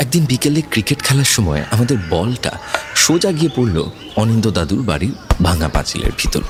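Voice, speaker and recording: A man at medium pitch makes very wide pitch swings while keeping his loudness very even. Music runs in the background. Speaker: horror story narrator and podcast host. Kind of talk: horror story narration.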